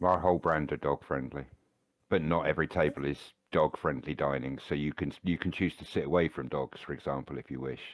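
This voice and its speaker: With a British accent, a man speaks at a very deep, low pitch, showing vocal fry and fairly even intonation. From Britain. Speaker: chef working in hospitality. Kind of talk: casual chat.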